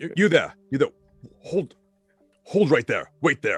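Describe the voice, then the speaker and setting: A man puts on a high-pitched character voice. Faint music plays behind the dry, close sound, which has no echo. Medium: actual play. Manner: curt, authoritative.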